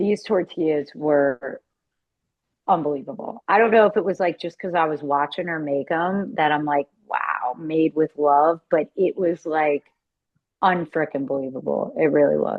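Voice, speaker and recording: This woman talks at a moderate pace with a very deep, low pitch. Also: ordinary pitch variation. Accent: Philadelphia. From Philadelphia area (Delaware County), US. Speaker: car salesperson. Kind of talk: casual interview chat.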